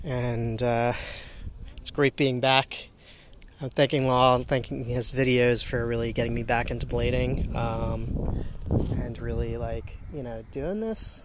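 Loud background noise surrounds a man speaking at a fairly slow pace in a dry sound with no echo. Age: 40s. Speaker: inline skater and skate gear reviewer. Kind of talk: casual gear review vlog. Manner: halting, frequent fillers. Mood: upbeat, enthusiastic. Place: street. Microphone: phone near.

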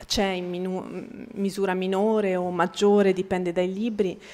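A woman speaks with an Italian accent. Her pace is very slow. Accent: Italian accent when speaking Bosnian. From Bosnia. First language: Bosnian (speaking Italian). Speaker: writer and translator; guest. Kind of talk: public talk. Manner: halting, many repetitions. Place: hall.

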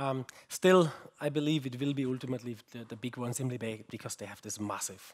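A man at a fairly quick pace, with long, frequent pauses and ordinary pitch variation. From Germany. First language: German. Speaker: research group head, conference keynote speaker; conference keynote speaker. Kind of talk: keynote talk. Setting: conference stage with audience. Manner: halting, with fillers and repetitions. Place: hall.

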